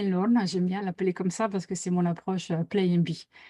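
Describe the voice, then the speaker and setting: This very clean recording with a silent background captures a woman at a medium pitch, somewhat breathy with a dark, mellow tone, in a dry, close sound with no echo. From Italy. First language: Italian (speaking French). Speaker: team facilitator. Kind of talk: interview. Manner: hesitant, many fillers.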